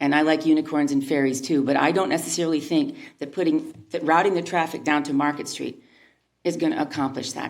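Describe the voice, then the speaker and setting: Very fast delivery with ordinary pitch variation and audible room echo. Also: woman. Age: 60s. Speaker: local retailer giving public comment. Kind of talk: public comment at city council meeting. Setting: city council meeting. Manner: halting.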